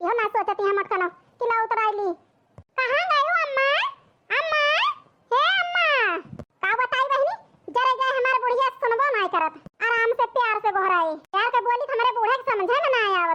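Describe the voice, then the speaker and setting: A woman's cartoonish character voice, extremely high-pitched with lively intonation, at a moderate pace with very even loudness and long, frequent pauses. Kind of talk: village cartoon comedy dialogue.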